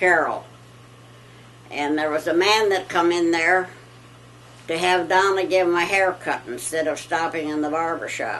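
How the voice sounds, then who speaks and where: A woman with an American accent speaks at a fairly slow pace and fairly low pitch, with fairly even intonation and audible room echo. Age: 90s. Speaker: elderly farm wife. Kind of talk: casual chat. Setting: at home.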